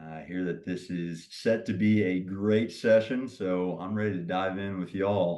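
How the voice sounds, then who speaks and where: A man with a Southern US accent, a fairly low pitch, and monotone, flat intonation, over a quiet background. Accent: Southern drawl. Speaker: pickleball league founder and CEO. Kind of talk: podcast interview. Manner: long-winded.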